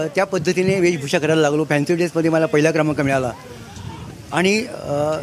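At a fairly high pitch, a man speaks with ordinary pitch variation and very even loudness over light background noise. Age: 50s. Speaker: party supporter at a rally. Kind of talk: street interview. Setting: outdoors at a rally ground. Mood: proud, admiring. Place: open country.

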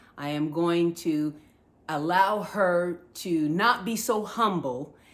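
A very slow delivery with an American accent. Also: woman. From New Jersey. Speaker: podcast host, model. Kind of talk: interview. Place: home room. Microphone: phone near.

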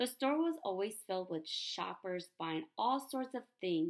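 Over a quiet background, the clip carries an unforced reading voice.

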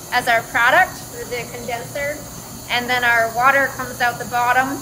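A woman with a high pitch speaks with fairly even intonation over noticeable background noise. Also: moderate pace. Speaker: engineering lecturer. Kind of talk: lecture. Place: factory. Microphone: phone near.

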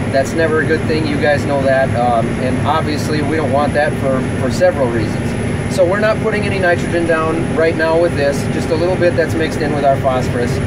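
Loud background noise runs under the speech. The talk moves at a fairly quick pace with hardly any pauses and ordinary pitch variation. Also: man. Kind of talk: casual vlog explanation. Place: farm machine. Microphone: phone near.

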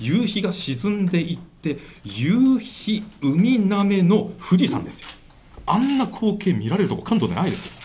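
A man talks with lively intonation while light noise sits in the background. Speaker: election candidate. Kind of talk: press conference answer. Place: meeting room. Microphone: handheld.

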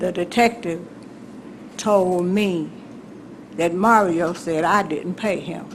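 A woman with an Alabama accent talks at a medium pitch with fairly even intonation, big swings in loudness and long, frequent pauses, with audible room echo. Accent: Alabama Southern US. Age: 80s+. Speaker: resident addressing city council. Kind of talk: public comment at council meeting. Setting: city council chamber.

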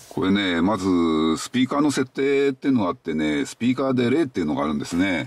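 A man talks at a fairly quick pace, the sound dry with no echo. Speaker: car owner vlogger. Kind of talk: casual explanatory vlog chat. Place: car. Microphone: phone near.

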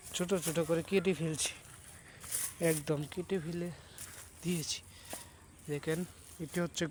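The voice belongs to a man with a high pitch. His intonation is monotone and flat. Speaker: village vlogger. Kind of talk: walking tour vlog narration. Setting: outdoors. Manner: halting.

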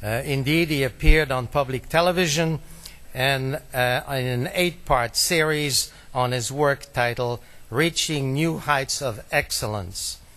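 A man speaks with a bright, sharp tone. His pace is fairly slow, with ordinary pitch variation. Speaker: event host introducing speaker. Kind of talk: speaker introduction. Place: hall.

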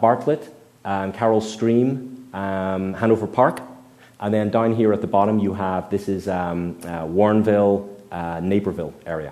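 A man talks with a plain, everyday voice, keeping a moderate pace and ordinary pitch variation. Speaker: environmental scientist giving a public talk. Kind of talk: public presentation with Q&A. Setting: meeting room with live audience. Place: hall. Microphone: headset.

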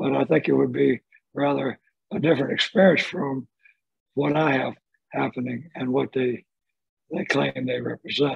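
A man with a Southern US accent at a moderate pace, long pauses coming often, the sound dry with no echo and the background quiet. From Birmingham, Alabama. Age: 70s. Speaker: retired lawyer and mystic. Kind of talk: podcast conversation. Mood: calm, reflective. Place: home room. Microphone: video call.

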